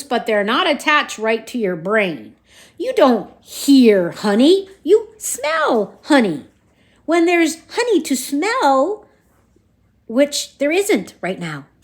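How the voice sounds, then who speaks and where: Using a put-on character voice, a woman speaks in a raised, projected voice at a high pitch, very slowly and with very wide pitch swings. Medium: read story.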